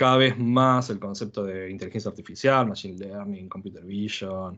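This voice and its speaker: Against a quiet background, a man with a bright, sharp tone and fairly low pitch speaks at a moderate pace with fairly even intonation. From Argentina. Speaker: software developer, conference speaker. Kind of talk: technical talk. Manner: halting, many fillers.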